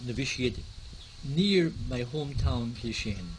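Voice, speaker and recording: A man with an Irish accent. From Ireland. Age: 70s. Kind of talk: personal life story interview.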